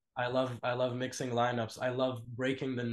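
A man speaks against a quiet background. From Lebanese family, raised in Russia, Dubai and other countries. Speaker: death metal musician. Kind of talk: casual interview.

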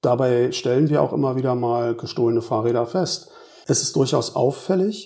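Speaking at a moderate pace and medium pitch, a man has a dark, mellow tone with vocal fry. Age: 50s. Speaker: police officer. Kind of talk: interview. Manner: formal.

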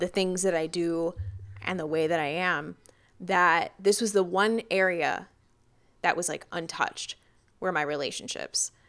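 In an ordinary speaking voice, a woman talks at a moderate pace and medium pitch, using ordinary pitch variation. Her recording is very clean, and the background is silent. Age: 20s. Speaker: podcast co-host. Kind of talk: casual chat.

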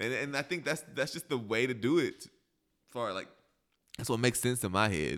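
A man speaks at a moderate pace in an American accent, with vocal fry and lively intonation. He leaves long, frequent pauses. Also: medium pitch for a man. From southern Illinois / western Kentucky. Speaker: actor. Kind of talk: casual interview.

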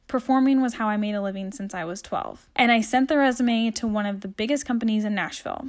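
A woman's fairly high voice, upbeat and animated, at a fairly quick pace with ordinary pitch variation, on a very clean recording with a silent background. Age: 20s. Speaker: web designer and podcast host. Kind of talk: solo monologue podcast.

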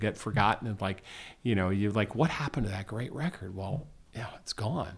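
Here a man speaks in a normal speaking voice with an American accent, fairly low in pitch and at a fairly quick pace. The recording is very clean, the background silent. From US, Washington DC. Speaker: musician and tech investor. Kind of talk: casual interview.

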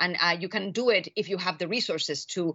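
A woman with a Spanish accent, medium in pitch, at a fairly quick pace. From Chile. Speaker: political scientist. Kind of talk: interview. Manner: halting, many fillers.

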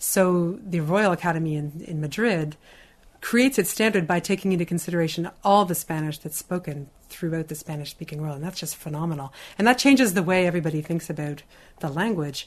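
With a Canadian accent, a woman in a plain, everyday voice speaks at a fairly quick pace, her fairly low pitch showing ordinary pitch variation. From Canada. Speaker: writer. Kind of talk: interview.

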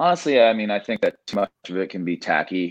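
A man with an American accent at a fairly quick pace against a quiet background. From Indiana, US Midwest. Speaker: MMA coach. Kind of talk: casual interview. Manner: halting, many fillers and repeated words.

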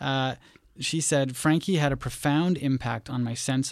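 This man has a plain, everyday voice. His pitch sits in the medium range, and his intonation stays fairly even. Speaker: podcast host. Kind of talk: interview, podcast hosting. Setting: studio.

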